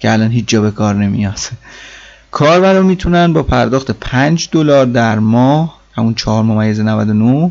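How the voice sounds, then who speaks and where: This is an ordinary speaking voice with lively intonation. It moves at a moderate pace with very even loudness. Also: man. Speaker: tech podcast host. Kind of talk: solo podcast monologue.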